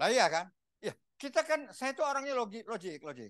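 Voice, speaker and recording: A man talks at a fairly quick pace in an animated tone. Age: 70s. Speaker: pastor. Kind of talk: sermon. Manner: animated, repetitive.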